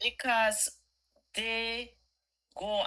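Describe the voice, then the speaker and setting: A bright, sharp tone in a woman's high voice. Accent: Jamaican. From Jamaica. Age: 60s. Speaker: caller. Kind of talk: casual chat. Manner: animated.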